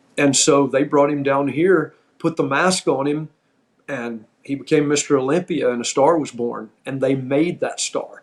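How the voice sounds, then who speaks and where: A man speaks at a moderate pace and fairly high pitch. He has a plain, everyday voice. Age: 60s. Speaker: former pro wrestler, podcast host. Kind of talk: casual storytelling chat.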